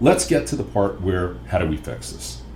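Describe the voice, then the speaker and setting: Amid audible room echo, a man with vocal fry speaks at a moderate pace. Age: 60s. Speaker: financial educator podcast host. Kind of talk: podcast monologue.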